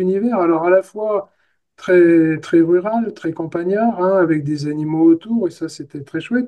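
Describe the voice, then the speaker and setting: The man's voice is high for a man, with a dark, mellow tone. He keeps a moderate pace and ordinary pitch variation. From France, countryside near Angers. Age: 70s. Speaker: therapist. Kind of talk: interview conversation. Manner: halting.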